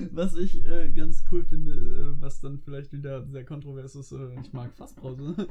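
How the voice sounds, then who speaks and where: This man's loudness shifts a great deal. He keeps a moderate pace. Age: 20s. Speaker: student and podcast co-host. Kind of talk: casual chat.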